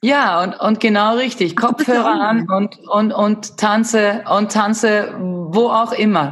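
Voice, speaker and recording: A woman speaks at a very slow pace with a fairly high pitch and ordinary pitch variation. Her loudness stays very even, and she hardly pauses at all. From Sweden. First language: Swedish (speaking German). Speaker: movement and fitness instructor. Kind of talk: casual interview. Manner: halting.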